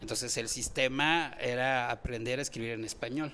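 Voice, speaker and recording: Here a man speaks at a fairly slow pace. His tone is bright and sharp. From Chiapas, Mexico (Venustiano Carranza). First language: Tzotzil (speaking Spanish). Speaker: poet and anthropologist. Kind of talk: radio interview. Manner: halting, many repetitions.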